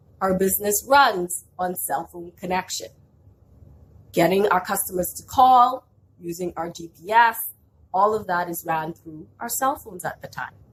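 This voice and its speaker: A somewhat breathy woman of medium pitch speaks at a moderate pace with ordinary pitch variation and big swings in loudness. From outside Canada (immigrant). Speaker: small business owner. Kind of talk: vlog storytelling with business tips.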